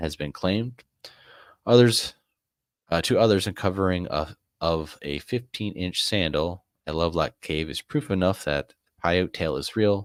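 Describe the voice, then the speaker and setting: A man speaks at a moderate pace in a very deep, low pitch with ordinary pitch variation, taking long, frequent pauses. The recording is very clean, with a silent background and a dry, close sound with no echo. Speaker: live-stream host. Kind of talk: reading aloud on a live stream. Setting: live stream. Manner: halting, stumbling over words.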